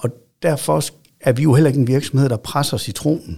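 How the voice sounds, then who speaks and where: A man speaks with a dark, mellow tone and some vocal fry. His pace is moderate. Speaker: football club chief executive. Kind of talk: interview. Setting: studio. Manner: halting with repetitions.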